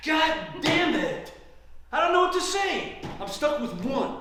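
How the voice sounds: A man puts on a character voice at an extremely high pitch, speaking at a fairly slow pace with a bright, sharp tone, big pitch swings and strong room echo.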